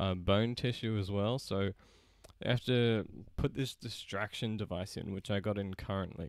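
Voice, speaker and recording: With an Australian accent, a man speaks at a moderate pace in a fairly low pitch with fairly even intonation, on a very clean recording with a silent background. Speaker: gaming YouTuber. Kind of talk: casual live stream chat.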